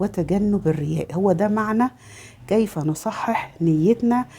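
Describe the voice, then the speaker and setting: A woman speaks fairly slowly in an Egyptian accent, her voice somewhat breathy. Her pitch varies in an ordinary way. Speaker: religious lifestyle vlogger. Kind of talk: religious talk. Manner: halting, many fillers.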